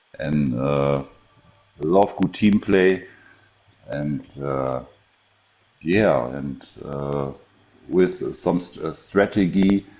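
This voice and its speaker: Speech comes at a very slow pace in a German accent, with long, frequent pauses. Pitch variation is ordinary. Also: man, very deep, low pitch for a man. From Germany. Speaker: gamer. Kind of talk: casual interview. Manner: halting.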